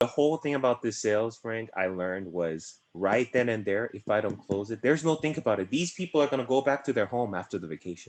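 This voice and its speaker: Very fast male speech with a Korean accent, medium pitch, lively intonation and hardly any pauses. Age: 20s. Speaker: insurance agency director. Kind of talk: interview.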